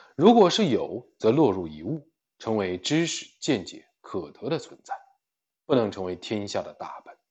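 Vocal fry runs through a man's voice as he talks at a fairly slow pace with very wide pitch swings. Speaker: livestream book reader. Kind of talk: reading aloud. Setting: livestream.

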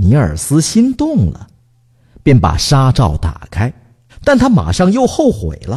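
A man leaves long, frequent pauses as he talks at a very slow pace. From Northeast China. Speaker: radio talk show host. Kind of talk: reading a children's story aloud; casual comedic chat. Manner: animated.

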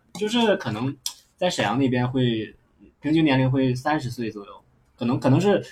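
Somewhat breathy and medium in pitch, a man speaks at a moderate pace with lively intonation. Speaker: podcast host, stand-up comedian. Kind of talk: casual chat. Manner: animated.

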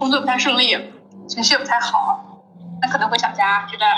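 There is noticeable background noise. A woman speaks at a high pitch. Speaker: Chinese employee working in Africa. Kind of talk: casual interview.

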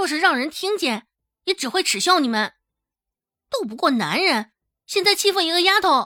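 A woman puts on a character voice with extremely high pitch, big pitch swings and a bright, sharp tone, speaking at a moderate pace in a very clean recording with a silent background.

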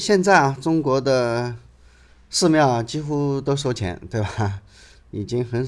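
Lively intonation from a man at a fairly slow pace, a plain, everyday voice on a very clean recording with a silent background. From China. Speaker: podcast host, travel storyteller. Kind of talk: casual travel narration. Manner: conversational, many fillers (啊, 呃).

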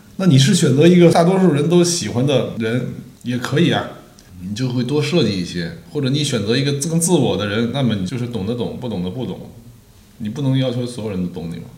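At a fairly quick pace, a man with medium pitch makes very wide pitch swings, with audible room echo and noticeable background noise. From northeastern Beijing, raised among Northeasterners. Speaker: film director. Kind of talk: casual interview. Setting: director's studio.

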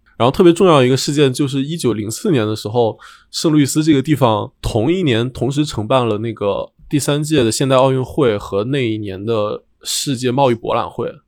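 Recorded very cleanly against a silent background, a man with a plain, everyday voice talks at a fairly quick pace, medium pitch and ordinary pitch variation. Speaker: architect. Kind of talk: casual chat.

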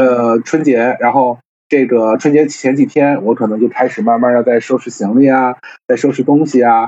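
A man with an unremarkable speaking voice, medium in pitch, at a fairly quick pace. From Tianjin, China. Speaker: culture media worker, guest. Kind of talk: casual conversation in live stream. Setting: online live stream.

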